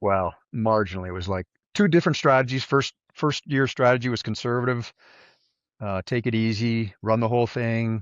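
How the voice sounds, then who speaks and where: With a normal speaking voice, a man talks at a moderate pace and medium pitch with ordinary pitch variation. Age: 60s. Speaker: ultrarunner. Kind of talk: interview.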